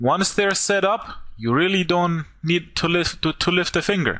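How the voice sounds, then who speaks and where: A man with a non-native accent speaks at a fairly slow pace. His fairly high voice has a bright, sharp tone, on a very clean recording with a silent background. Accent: goofy accent, non-native. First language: not English. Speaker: online marketer. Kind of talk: sales pitch.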